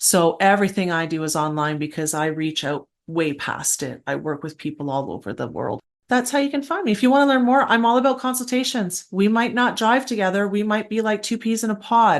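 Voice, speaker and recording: A fairly quick voice with very wide pitch swings and a Canadian accent, over a quiet background. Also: woman, medium pitch for a woman, hardly any pauses. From Canada, Alberta. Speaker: esoteric guide and paranormal educator. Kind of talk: interview conversation. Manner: animated.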